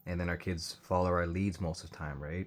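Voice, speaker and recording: Mumbling in a very deep, low voice, a man is heard on a very clean recording with a silent background. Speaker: commentary vlogger. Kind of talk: casual reaction commentary. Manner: hesitant, many fillers; tends to mumble and speak low.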